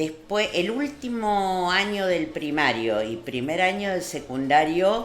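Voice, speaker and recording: Speaking at a very slow pace with hardly any pauses, a woman at medium pitch makes very wide pitch swings amid audible room echo and noticeable background noise. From Argentina, Córdoba province (Marull). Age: 60s. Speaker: local community figure interviewed on radio. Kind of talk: radio interview.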